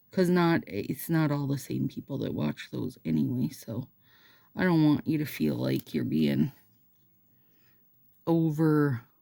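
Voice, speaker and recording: A woman with a Minnesotan accent talks at a fairly slow pace with long, frequent pauses. The recording is very clean, the background silent. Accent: Minnesota. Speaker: nail polish seller and YouTuber. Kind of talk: casual chat with reading aloud. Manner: animated.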